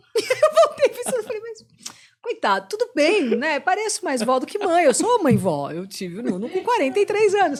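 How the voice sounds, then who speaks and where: A woman's extremely high voice with a strong São Paulo accent, very wide pitch swings, big swings in loudness, an animated tone and a moderate pace. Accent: thick São Paulo (paulistano). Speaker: rock radio host. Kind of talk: casual podcast chat.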